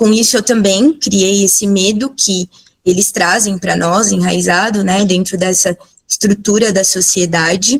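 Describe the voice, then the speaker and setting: The voice is somewhat breathy. Its loudness stays very even. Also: woman, medium pitch for a woman, fairly even intonation, fairly slow pace. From São Paulo, Perus district. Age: 50s. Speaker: biomedical scientist and cannabis educator. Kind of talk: talk/presentation with slides. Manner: emotional, close to tears.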